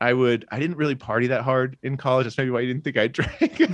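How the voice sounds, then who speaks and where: A man with a plain, everyday voice, medium in pitch, fairly even in intonation, recorded dry and close with no echo against a quiet background. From Australia (rural), moved to US at twelve. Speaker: comedian and illustrator. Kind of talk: casual chat.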